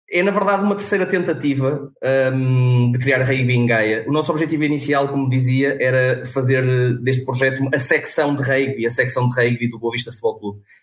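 Noticeable background noise surrounds a man speaking with hardly any pauses. His medium pitch shows ordinary variation. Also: fairly quick pace. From northern Portugal, Vila Nova de Famalicão. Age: 20s. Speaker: rugby club president. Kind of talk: interview.

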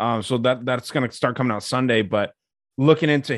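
A man's normal speaking voice, medium in pitch, at a fairly quick pace. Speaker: podcaster. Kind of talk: casual chat. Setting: video call.

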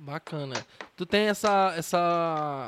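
A man's high-pitched voice. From Ceará, Brazil. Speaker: podcast host, journalist. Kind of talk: casual interview. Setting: remote call.

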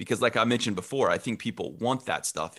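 The recording of a man with a Midwestern American accent is very clean, with a silent background. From Illinois, Champaign-Urbana. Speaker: local TV sports director. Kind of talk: interview.

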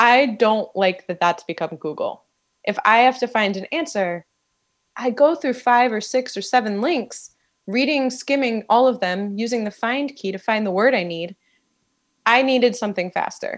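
In a quiet background, a woman with a normal speaking voice talks at a moderate pace and a fairly high pitch. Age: 30s. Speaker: author. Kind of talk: casual chat. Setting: studio.

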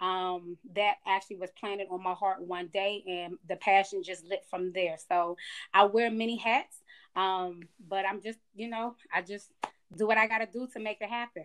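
A medium-pitched woman's voice with an American accent, fairly even intonation and a moderate pace. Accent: Georgia twang, Maryland accent gone. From Maryland. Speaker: career changer, student becoming educator. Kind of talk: casual interview chat.

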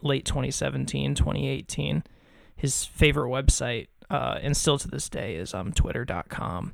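Whispering with vocal fry, a man speaks at a fairly slow pace. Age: 20s. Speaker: podcast co-host. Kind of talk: casual chat. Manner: hesitant, many fillers.

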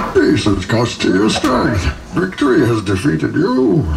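A man puts on a raspy character voice at very even loudness, with clear background noise behind him. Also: moderate pace. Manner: chill, calm.

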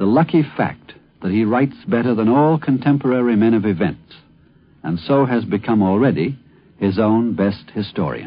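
In a normal speaking voice, this man talks at a moderate pace and a medium pitch. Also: lively intonation. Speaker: commentator. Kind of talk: radio essay commentary.

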